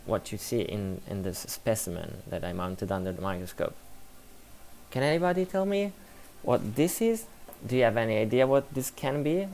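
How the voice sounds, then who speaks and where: A man speaks with an Italian accent at a moderate pace. His pitch swings very widely. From Italy. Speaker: science communicator streamer. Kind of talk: live stream commentary. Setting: live stream with background music.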